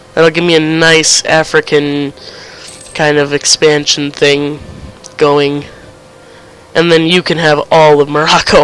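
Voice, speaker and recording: Pausing long and often, a man talks at a fairly slow pace with a fairly high pitch and monotone, flat intonation over noticeable background noise. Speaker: gaming video creator. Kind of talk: casual gameplay commentary. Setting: online voice chat.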